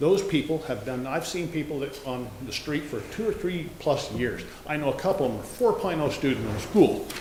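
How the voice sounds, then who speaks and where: In an American accent, the speaker talks at a fairly quick pace with lively intonation, amid noticeable background noise and audible room echo. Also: man. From US Pacific Northwest, Oregon coast. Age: 60s. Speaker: local business owner, public commenter. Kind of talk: public comment at town hall. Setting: town hall meeting. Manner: animated, emphatic.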